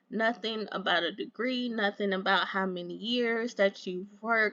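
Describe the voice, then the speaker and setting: The background is quiet. A woman speaks in a bright, sharp tone. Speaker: YouTuber giving job search tips. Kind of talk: casual tutorial with screen walkthrough. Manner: casual, chatty.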